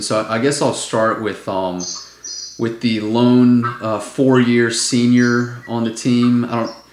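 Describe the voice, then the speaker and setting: A man with a medium-pitched voice talks, and the room echo is audible. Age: 20s. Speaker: sports podcast host. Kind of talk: casual chat.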